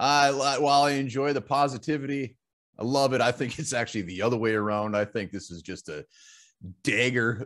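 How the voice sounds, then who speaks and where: A man talks at a moderate pace, his pitch varying in an ordinary way, with the background quiet. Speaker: podcast host reading mailbag. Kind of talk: casual sports podcast chat. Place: home room.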